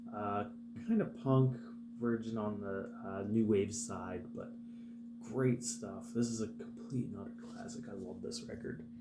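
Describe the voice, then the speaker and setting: Over noticeable background noise and audible room echo, a quiet man speaks at a fairly slow pace with big swings in loudness. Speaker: vinyl collector YouTuber. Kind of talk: casual record show-and-tell vlog. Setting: at home, early morning. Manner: quiet, keeping voice down.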